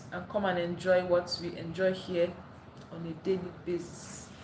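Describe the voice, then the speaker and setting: Female speech with noticeable noise behind it and audible echo from the room. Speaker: live streamer. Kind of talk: casual live stream chat. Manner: animated.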